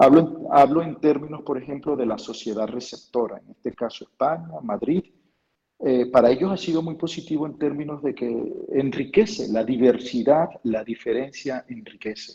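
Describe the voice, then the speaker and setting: This man talks at a moderate pace in a fairly high pitch, with ordinary pitch variation and big swings in loudness. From Venezuela, Lara state (Quíbor). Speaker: university professor. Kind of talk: interview. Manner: halting, with many repetitions.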